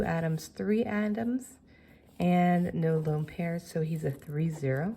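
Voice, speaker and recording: Breathing somewhat breathily, a woman speaks at a fairly slow pace with lively intonation. Her fairly low voice has a dark, mellow tone. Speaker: chemistry teacher. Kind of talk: tutorial.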